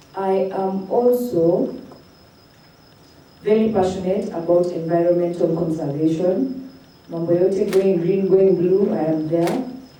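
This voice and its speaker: A woman talks at a fairly slow pace. Audible room echo and noticeable background noise fill the clip. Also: medium pitch for a woman, ordinary pitch variation. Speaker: student leader. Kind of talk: self-introduction at event.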